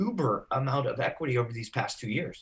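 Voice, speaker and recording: A man's somewhat breathy, fairly high voice at a fairly quick pace. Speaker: real estate agent and trainer. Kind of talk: training session. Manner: fast.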